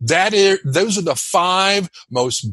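A man's high voice at a fairly slow pace with lively intonation. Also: dry, close sound with no echo. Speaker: public speaking coach. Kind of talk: interview. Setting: video call. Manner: high energy.

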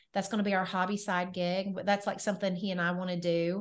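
Speaking with a Southern US accent, a woman talks at a fairly quick pace. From Nashville, Tennessee. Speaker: weight loss coach and entrepreneur. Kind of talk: podcast interview. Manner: animated.

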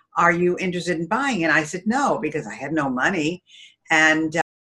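Here is a woman with a fairly low pitch and an American accent. She has an unremarkable speaking voice with ordinary pitch variation. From Albany, New York. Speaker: entrepreneur and speaker. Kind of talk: interview.

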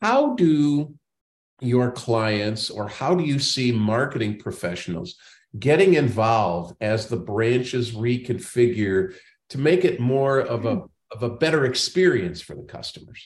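Against a quiet background, a man with a medium-pitched, somewhat breathy voice talks at a fairly slow pace with lively intonation and big swings in loudness. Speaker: podcast host and banking consultant. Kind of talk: interview.

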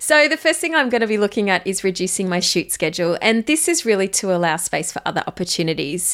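A woman with a medium pitch talks with lively intonation. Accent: Australian. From Australia. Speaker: podcast host and photographer. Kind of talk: solo podcast monologue, reflection.

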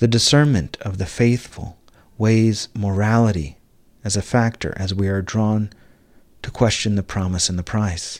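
This man has a normal speaking voice with fairly low pitch and ordinary pitch variation. He talks at a moderate pace. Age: 40s. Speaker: minister leading a spiritual gathering. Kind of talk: sermon. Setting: live Zoom gathering.

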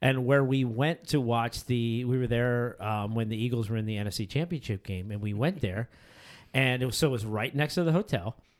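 On a very clean recording with a silent background, a man with an American accent speaks in a normal speaking voice at a medium pitch and fairly quick pace, with ordinary pitch variation. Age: 40s. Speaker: podcast host. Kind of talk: casual chat.

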